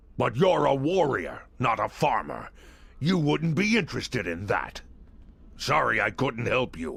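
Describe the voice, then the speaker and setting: A man's put-on character voice, raspy, pitched in the middle range, delivered at a moderate speed. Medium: video game. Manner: dry, dismissive.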